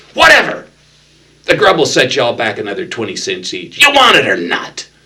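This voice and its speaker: Putting on a character voice, a man talks in a whiny, high pitch at a fairly quick pace. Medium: read story. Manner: mocking, condescending.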